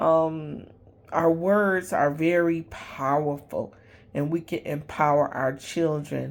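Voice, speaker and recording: A woman talks at a very deep, low pitch. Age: 60s. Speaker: realtor and vlogger. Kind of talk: casual vlog monologue. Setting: late-night self-recorded video. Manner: hesitant, many fillers.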